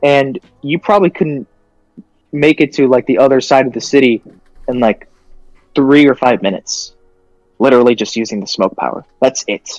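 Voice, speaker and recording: A man talks at a moderate pace and medium pitch, with ordinary pitch variation and long, frequent pauses. The sound is dry and close with no echo, and music plays in the background. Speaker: podcast co-host. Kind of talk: casual chat. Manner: halting, self-interrupting; animated.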